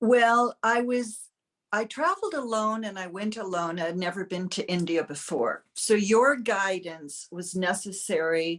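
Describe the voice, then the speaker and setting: In an unremarkable speaking voice, a woman with an American accent talks at a fairly slow pace, at a medium pitch with ordinary pitch variation. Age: 60s. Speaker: client sharing a testimonial. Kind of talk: interview testimonial.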